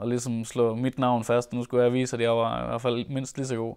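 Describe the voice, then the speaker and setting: Flat, monotone delivery against a quiet background. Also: man. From Denmark, North Jutland; Denmark. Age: 20s. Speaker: rallycross driver. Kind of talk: interview. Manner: hesitant with fillers. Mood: calm, reflective.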